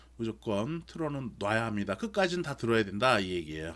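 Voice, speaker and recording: A man talks at a fairly quick pace in a medium pitch. His voice makes very wide pitch swings. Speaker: university lecturer. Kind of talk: online lecture. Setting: recorded remote lecture.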